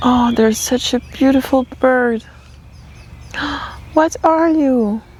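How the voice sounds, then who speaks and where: A woman's high-pitched voice at a very slow pace, with noticeable background noise. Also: ordinary pitch variation. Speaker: tarot reader, channeler. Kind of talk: channeled tarot reading. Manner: halting, self-correcting.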